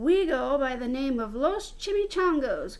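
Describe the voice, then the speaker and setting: Growling in a put-on character voice, a woman speaks at a moderate pace. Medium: read story. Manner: growling, grave.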